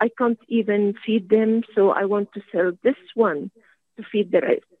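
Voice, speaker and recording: The speech moves at a fairly slow pace. It carries an Arabic accent. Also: woman. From Syria. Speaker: academic. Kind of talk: radio call-in comment.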